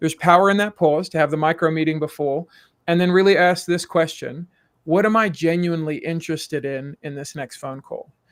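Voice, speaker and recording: A man speaks fairly quickly in a South African accent with a high pitch. His intonation is fairly even, though his loudness swings widely. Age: middle-aged. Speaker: executive coach. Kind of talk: podcast interview.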